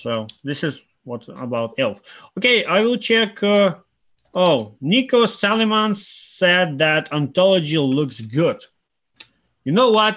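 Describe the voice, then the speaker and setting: Very slowly, someone with a non-native accent speaks, their pitch swinging very widely. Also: man. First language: not English. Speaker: crypto trader and market analyst. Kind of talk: live stream chart analysis. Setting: live stream. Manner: halting, many fillers.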